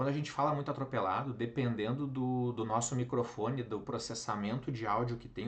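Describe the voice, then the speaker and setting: A man speaks at medium pitch and a moderate pace, his voice somewhat breathy. Room echo is audible. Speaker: teacher. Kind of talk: lecture. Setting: live online class.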